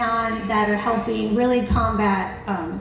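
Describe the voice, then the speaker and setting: A woman speaks with fairly even intonation. Noticeable background noise and audible room echo are present. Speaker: zoo animal presenter. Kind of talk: live animal show presentation. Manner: loud.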